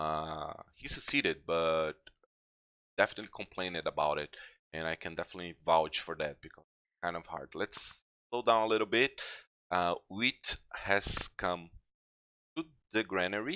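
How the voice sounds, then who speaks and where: Speaking with a non-native accent, a man with a very deep, low pitch keeps a moderate pace, ordinary pitch variation, long and frequent pauses, and big swings in loudness. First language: not English. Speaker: gaming youtuber. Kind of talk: let's play commentary. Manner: halting, many fillers.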